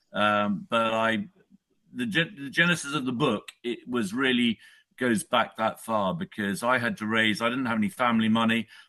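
Against a quiet background, a man with an English accent speaks at a moderate pace and medium pitch, with a bright, sharp tone and ordinary pitch variation. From England. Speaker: author. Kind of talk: interview.

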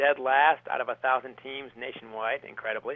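A man speaks fairly quickly at a medium pitch with an American accent. His intonation is fairly even, with music in the background. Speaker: author and former high school hockey coach. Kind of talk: radio interview about his book.

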